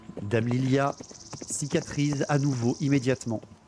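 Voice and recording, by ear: The intonation is fairly even. A natural voice reads the text aloud.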